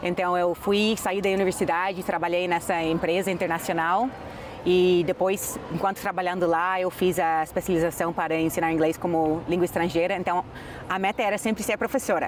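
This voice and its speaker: Over noticeable background noise, a woman with an English accent speaks at a moderate pace, her fairly low pitch held in fairly even intonation and very even loudness. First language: English (speaking Portuguese). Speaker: English teacher. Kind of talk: interview.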